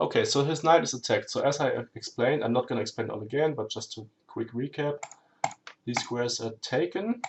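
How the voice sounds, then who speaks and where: This is a man speaking. He has a German accent. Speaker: chess streamer. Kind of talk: live game commentary. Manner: halting, self-correcting; hurried.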